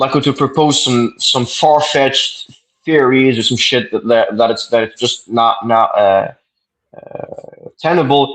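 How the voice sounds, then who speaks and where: A man with a Quebec accent speaks at a fairly slow pace. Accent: French Canadian accent in English. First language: French. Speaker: debater. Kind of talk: debate. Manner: halting, stuttering repetitions.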